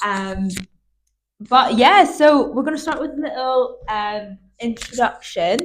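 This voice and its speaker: A woman speaks at a fairly slow pace with a Northern Irish accent. Her pitch is high and her intonation is lively. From Northern Ireland. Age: 20s. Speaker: podcast host. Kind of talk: casual chat.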